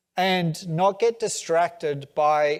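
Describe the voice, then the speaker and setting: A man with an Australian accent speaks at a fairly high pitch, his pitch varying in an ordinary way. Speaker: tech company CEO. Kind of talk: onstage conference interview.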